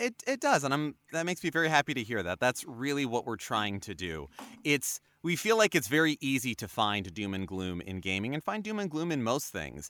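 A man with a medium pitch talks at a fairly quick pace in a bright, sharp tone with very wide pitch swings. The sound is dry and close with no echo, on a very clean recording with a silent background. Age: 30s. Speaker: voice actor. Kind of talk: casual chat.

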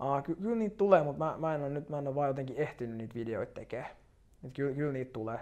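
Lively intonation marks this man's very fast delivery. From Finland, Turku archipelago. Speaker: real estate agent. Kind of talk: interview.

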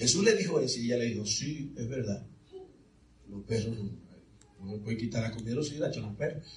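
A man's medium-pitched voice with ordinary pitch variation, over noticeable background noise. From Dominican Republic. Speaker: preacher. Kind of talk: sermon. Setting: church with congregation.

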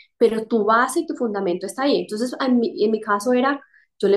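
A woman talks at a fairly quick pace in a normal speaking voice. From Colombia, Quimbaya. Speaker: corporate executive. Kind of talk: casual interview.

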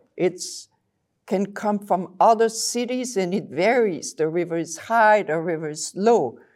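At a fairly slow pace, a woman with a French accent speaks at a medium pitch. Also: ordinary pitch variation, very clean recording, silent background. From Belgium. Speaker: water chemist. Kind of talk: casual interview.

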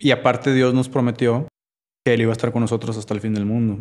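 A man's medium-pitched voice races along very fast in a very clean recording with a silent background. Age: 30s. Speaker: podcast guest, churchgoer. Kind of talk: casual chat.

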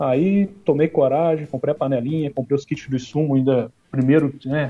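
A man with a plain, everyday voice speaks at a moderate pace, his fairly high pitch held to fairly even intonation. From Minas Gerais, Brazil. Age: 40s. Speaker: homebrewer and beer YouTuber. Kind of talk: casual chat.

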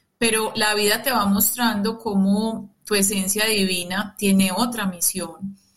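A woman's medium-pitched, somewhat breathy voice at a fairly slow pace, with monotone, flat intonation, very even loudness and hardly any pauses. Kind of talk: reflective interview conversation. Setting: remote connection from her own booth.

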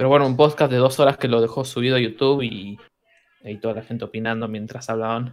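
A man with an Argentine accent at a very fast pace, medium pitch and fairly even intonation. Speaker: musician. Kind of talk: casual chat.

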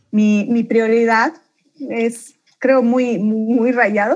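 This woman's pitch sits fairly high, with ordinary variation. She speaks at a fairly slow pace. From Bolivia, Beni and La Paz, raised in Santa Cruz. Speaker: leader of a faith-based support organization. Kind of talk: podcast interview, personal testimony. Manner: animated.

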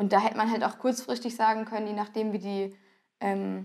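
Over a quiet background, a woman talks at a moderate pace and a fairly high pitch. Her intonation stays monotone and flat. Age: 20s. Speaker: carnival club dancer. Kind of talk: casual interview.

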